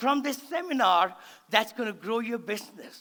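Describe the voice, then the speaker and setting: Raising and projecting his voice, a man speaks at a fairly slow pace in an extremely high pitch, his tone animated, bright and sharp, with ordinary pitch variation. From India. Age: 70s. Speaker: real estate investor and motivational speaker. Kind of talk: seminar talk. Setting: stage with audience.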